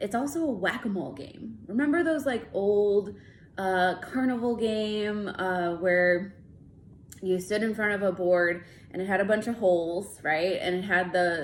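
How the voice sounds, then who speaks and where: The pitch varies in an ordinary way. Audible room echo can be heard. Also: woman, medium pitch for a woman, moderate pace. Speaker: licensed counselor. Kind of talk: casual talk to camera. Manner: hesitant, many fillers.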